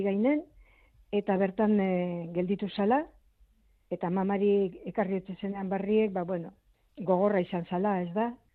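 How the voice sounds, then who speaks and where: A woman speaks with a normal speaking voice at a medium pitch. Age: 60s. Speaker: relative of missing civil war soldier. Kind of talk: radio interview.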